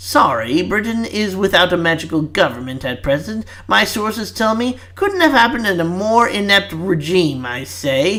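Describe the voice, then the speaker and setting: A man puts on a character voice, high-pitched for a man. His pitch swings very widely. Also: moderate pace. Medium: read story.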